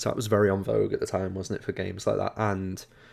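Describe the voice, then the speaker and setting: A man with a Liverpool accent talks at a very fast pace in a fairly low pitch. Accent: Scouse. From Liverpool, England. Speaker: gaming podcast co-host. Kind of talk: casual chat.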